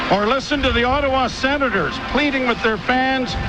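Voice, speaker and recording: A man speaks in a raised, projected voice with ordinary pitch variation over noticeable background noise. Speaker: radio play-by-play announcer. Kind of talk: farewell speech on radio broadcast. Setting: press box broadcast booth.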